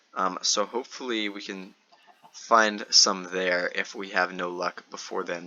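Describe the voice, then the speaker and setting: Noticeable background noise sits behind a man speaking at a fairly slow pace in a flat monotone. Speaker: gaming youtuber. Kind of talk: gameplay commentary. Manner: halting, many fillers.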